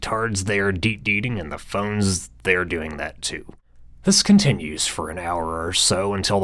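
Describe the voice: The speaker reads aloud plainly, with pitch that varies in an ordinary way.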